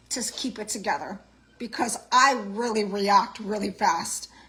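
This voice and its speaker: A woman's fairly high-pitched voice against noticeable background noise. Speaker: vlogger. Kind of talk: vlog rant. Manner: loud.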